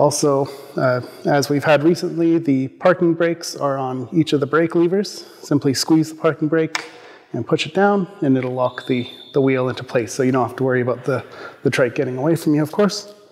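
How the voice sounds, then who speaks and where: The speaker is a man with ordinary pitch variation. He talks at a fairly quick pace. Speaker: presenter. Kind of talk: product overview presentation. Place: studio.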